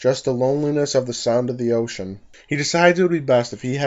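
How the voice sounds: The natural reading voice moves through ordinary pitch variation.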